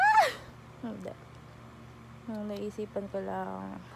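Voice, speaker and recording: The speech moves at a very slow pace, with audible room echo around it. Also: woman. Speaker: vlogger. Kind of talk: casual vlog talk. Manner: halting, self-correcting.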